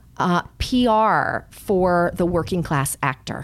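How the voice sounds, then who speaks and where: A woman with a Californian accent speaks with lively intonation. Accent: American (California). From Los Angeles. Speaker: publicist. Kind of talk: interview.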